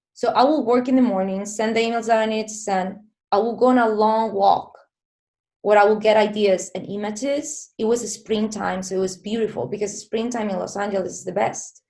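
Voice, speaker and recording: A woman with a Spanish accent speaks at a fairly quick pace, her dark, mellow tone set at a fairly high pitch with ordinary variation. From southern Spain. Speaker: filmmaker. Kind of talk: interview.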